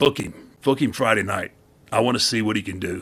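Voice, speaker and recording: A man puts on a raspy, gravelly character voice at a medium pitch. He talks at a fairly quick pace with ordinary pitch variation. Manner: commanding, decisive.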